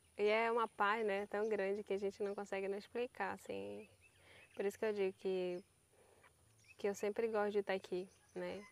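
A woman speaks at a medium pitch and a moderate pace with monotone, flat intonation and long, frequent pauses, in a dry sound with no echo. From northern Brazil (Pará). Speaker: riverside community resident. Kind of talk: casual chat. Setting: outdoors. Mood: calm, reflective. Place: waterside. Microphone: lapel.

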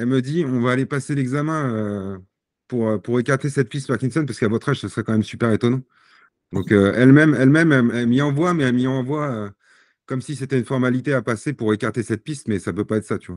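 With a dry sound with no echo and a quiet background, a man speaks at a very fast pace with ordinary pitch variation. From Paris region, Seine-Saint-Denis; Paris region. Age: 40s. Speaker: sportsman with Parkinson's disease; podcast guest. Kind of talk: podcast interview. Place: home room. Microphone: video call.

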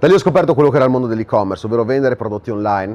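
This man talks with lively intonation. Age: 20s. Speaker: online entrepreneur and influencer; influencer. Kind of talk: direct-to-camera monologue. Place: home room.

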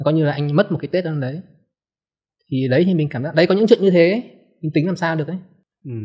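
A man speaks very fast with lively intonation, sounding somewhat breathy. The background is quiet. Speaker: book editor; podcast guest. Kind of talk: casual chat. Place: studio. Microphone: studio mic.

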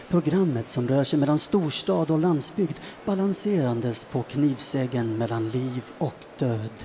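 A man speaks with lively intonation at a fairly slow pace. Music plays in the background. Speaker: storyteller, actor, presenter. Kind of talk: radio program presenter intro. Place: studio. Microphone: handheld.

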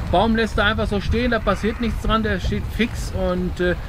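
A man's high-pitched voice at a moderate pace, with fairly even intonation and noticeable background noise. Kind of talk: casual vlog chat explaining gear. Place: boat.

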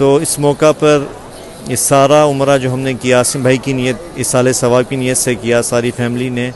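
Over light background noise, a man talks at a fairly slow pace in a monotone, flat intonation. The sound is dry, with no echo. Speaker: speaker. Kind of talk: casual vlog chat. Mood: somber, grieving, prayerful. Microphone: earbuds.

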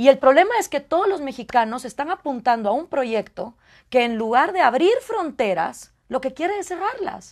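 In a Guatemalan accent, a woman speaks at high pitch and a moderate pace with very wide pitch swings against a quiet background. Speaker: political scientist and radio host; radio host. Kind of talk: interview. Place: studio. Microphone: lapel.

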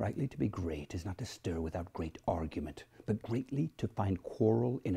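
A man's dramatic, somewhat breathy voice, dark and mellow in tone, with lively intonation at a moderate pace. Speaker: actor. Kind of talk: hamlet soliloquy performance. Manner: dramatic, declamatory delivery. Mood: intense, brooding. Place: home room.

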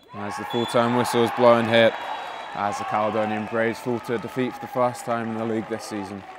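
A man with a medium-pitched voice talks at a very fast pace in an animated tone. Crowd noise fills the background. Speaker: football commentator. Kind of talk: live match commentary over highlights. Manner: fast, urgent play-by-play delivery; animated, rising excitement on chances and saves.

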